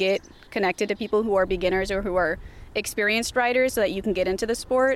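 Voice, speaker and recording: The woman has an unremarkable speaking voice with an American accent. Her pitch is medium, with ordinary variation. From California. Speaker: trail club organizer. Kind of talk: interview.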